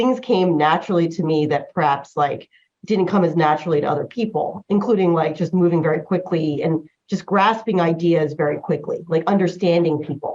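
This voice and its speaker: With an American accent, a woman with an unremarkable speaking voice talks at a moderate pace, fairly low in pitch, with ordinary pitch variation. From US Northeast, New Jersey. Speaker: patent lawyer. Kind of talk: interview. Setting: podcast. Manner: casual, many fillers.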